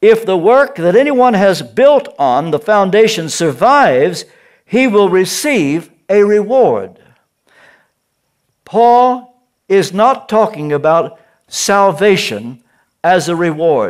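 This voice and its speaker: A man's high-pitched voice, very slow, with very wide pitch swings and long, frequent pauses. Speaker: preacher. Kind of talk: sermon.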